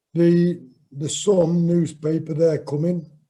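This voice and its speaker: Dark and mellow in tone, a man with an East Midlands accent speaks very slowly at a fairly high pitch. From Nottinghamshire, England. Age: 60s. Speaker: boxer. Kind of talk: interview.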